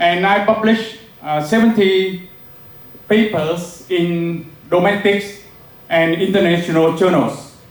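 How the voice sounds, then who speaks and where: The speech, in a Vietnamese accent, comes at a very slow pace with fairly even intonation. Noticeable background noise and audible room echo fill the recording. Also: man. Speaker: professor. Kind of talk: lecture. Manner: halting, many filler sounds.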